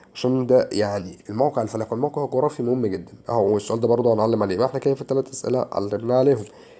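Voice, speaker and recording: This man speaks with an Egyptian accent at medium pitch. His tone is dark and mellow, with ordinary pitch variation. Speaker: social studies teacher. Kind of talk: lecture. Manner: animated.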